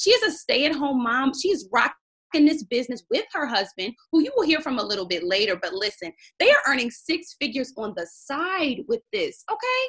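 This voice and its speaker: A woman with an American accent, high in pitch, very wide pitch swings, a moderate pace and hardly any pauses. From US Mid-Atlantic, Baltimore, Maryland. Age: 20s. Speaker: teacher presenting a business opportunity. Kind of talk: sales pitch. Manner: animated.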